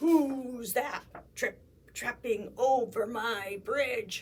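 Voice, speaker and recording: Bellowing in a raspy put-on character voice, a female-sounding speaker goes at a very slow pace with a high pitch. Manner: roaring; selfish, gruff.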